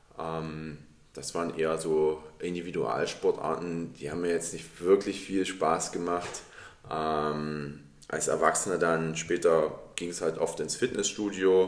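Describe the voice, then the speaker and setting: Over noticeable background noise, a man speaks at a very slow pace with a very deep, low pitch and fairly even intonation. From Dresden, Saxony, Germany. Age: 30s. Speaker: podcast co-host, American football player. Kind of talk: casual chat.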